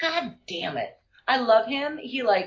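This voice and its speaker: A woman speaks in a somewhat breathy voice. Her pitch swings very widely. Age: 40s. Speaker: burlesque performer. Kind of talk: casual chat.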